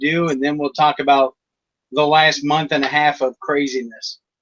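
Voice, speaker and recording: Speaking at a moderate pace, a man with an American accent has an unremarkable speaking voice that is fairly high in pitch. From US East Coast. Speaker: online talk show host. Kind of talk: interview on live online show.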